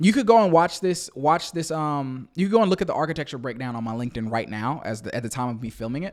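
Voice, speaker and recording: On a very clean recording with a silent background, a man with a fairly high pitch rushes along at a very fast pace with hardly any pauses, very wide pitch swings and big swings in loudness. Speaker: cloud engineer and career coach. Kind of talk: unscripted tutorial. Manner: stutters, repeats words; casual, conversational.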